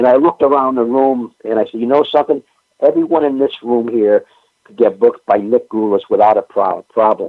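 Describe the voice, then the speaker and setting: Talking at a fairly quick pace, a man with a New England accent swings widely in loudness. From New England, Springfield, Massachusetts. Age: 70s. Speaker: pro wrestling historian. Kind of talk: casual chat.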